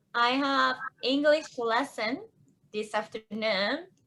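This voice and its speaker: A woman's bright, sharp tone with a Japanese accent. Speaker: choreographer and panelist. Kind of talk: casual panel chat.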